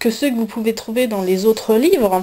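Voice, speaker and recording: With a dark, mellow tone, a woman speaks at a fairly high pitch with ordinary pitch variation. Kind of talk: casual talk to camera, coloring tutorial. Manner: hesitant, many filler sounds.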